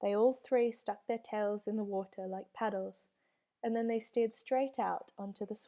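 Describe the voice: The background is quiet during this plain reading aloud.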